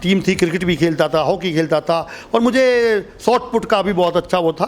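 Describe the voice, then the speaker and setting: Over noticeable background noise, a man speaks in a high voice. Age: 50s. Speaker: masters athlete. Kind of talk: interview.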